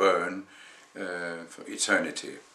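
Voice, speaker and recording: A man with a Danish accent speaks at a very slow pace. Room echo is audible, along with noticeable background noise. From Denmark. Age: 60s. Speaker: vlogger. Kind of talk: personal testimony. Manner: halting, many fillers.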